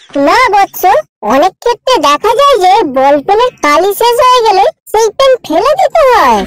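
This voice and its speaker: Extremely high pitch in a cartoonish character voice. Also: moderate pace. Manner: mock-solemn, addresses others as "bôtsô".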